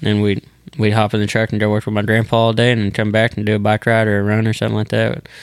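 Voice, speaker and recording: A man speaks at a very fast pace in a Texan accent, his pitch fairly low. His intonation is monotone and flat, and his loudness stays very even. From Texas (small town near Dallas). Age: 20s. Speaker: professional bull rider. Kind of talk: casual interview.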